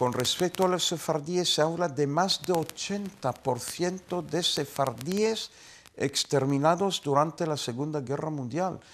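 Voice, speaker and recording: At a very slow pace, a man speaks with a fairly high pitch and ordinary pitch variation. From Israel. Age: 70s. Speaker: university professor. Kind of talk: interview. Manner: formal. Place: studio.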